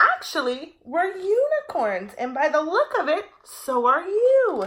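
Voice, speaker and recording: In a put-on character voice, a woman speaks fairly slowly at an extremely high, squeaky pitch that swings very widely. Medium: read story. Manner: friendly, warm.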